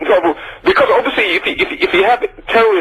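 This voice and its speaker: Very fast male speech with noticeable background noise. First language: not English. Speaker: caller. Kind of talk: heated debate. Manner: halting.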